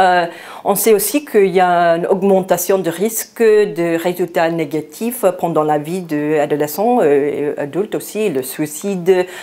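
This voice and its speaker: Speaking with an American accent, a woman uses a fairly low pitch with ordinary pitch variation and a fairly slow pace. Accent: American accent in French, non-native. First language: English (speaking French). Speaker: psychiatry researcher, invited lecturer. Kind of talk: lecture. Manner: halting, many hesitations.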